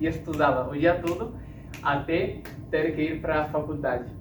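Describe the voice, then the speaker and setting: A man with a Spanish accent at a moderate pace, fairly high in pitch, with fairly even intonation, audible room echo and noticeable background noise. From Uruguay and Argentina (Misiones, Buenos Aires). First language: Spanish (speaking Portuguese). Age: 30s. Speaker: classical guitarist and speaker. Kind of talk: talk to an audience. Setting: stage with audience. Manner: hesitant, many fillers.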